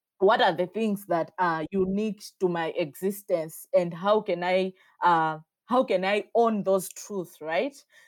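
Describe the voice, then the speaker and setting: Speaking with a Malawian accent at a fairly slow pace, a woman uses ordinary pitch variation on a very clean recording with a silent background. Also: medium pitch for a woman. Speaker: feminist activist. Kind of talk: interview.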